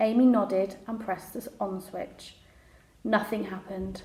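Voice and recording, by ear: A woman speaks at medium pitch and a slow pace, her tone slightly mellow. Her intonation is fairly even, and the room echo is audible.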